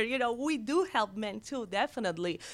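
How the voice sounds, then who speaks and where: A woman with a Catalan accent speaks with lively intonation. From Barcelona, Spain. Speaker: women's business center director. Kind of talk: radio interview. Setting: studio.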